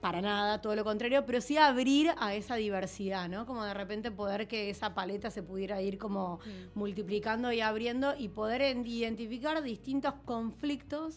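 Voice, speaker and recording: A woman talks at a moderate pace with hardly any pauses and ordinary pitch variation, with light background noise behind her. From Argentina. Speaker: film director and producer; interview guest. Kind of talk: casual interview. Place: studio. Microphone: studio mic.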